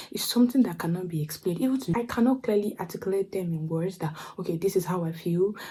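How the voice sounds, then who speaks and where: A woman's very fast, medium-pitched speech with a Nigerian accent over noticeable background noise. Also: ordinary pitch variation. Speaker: vlogger. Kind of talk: casual monologue. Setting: at home late at night. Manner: soft-spoken.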